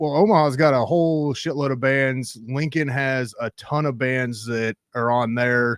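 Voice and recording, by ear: A man speaks at a medium pitch and a fairly slow pace. His intonation stays fairly even.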